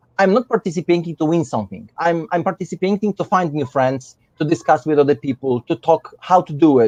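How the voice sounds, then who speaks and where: In a Polish accent, a man with a high pitch talks at a fairly quick pace and lively intonation, in a dry, close sound with no echo. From Poland. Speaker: miniature painter, competition winner. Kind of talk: live stream chat. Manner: halting.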